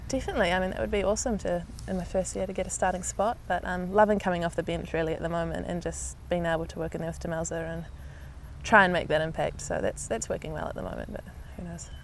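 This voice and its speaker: Talking at a very fast pace, a woman speaks with a New Zealand accent. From New Zealand, Canterbury and Auckland. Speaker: netball player. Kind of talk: interview.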